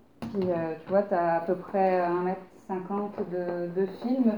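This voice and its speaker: Medium in pitch, a woman speaks in a plain, everyday voice with fairly even intonation. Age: 30s. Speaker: photographer. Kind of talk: casual conversation.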